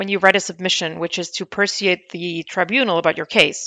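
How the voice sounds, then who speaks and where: At a moderate pace, a woman speaks with a German accent. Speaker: podcast host, lawyer. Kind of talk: interview.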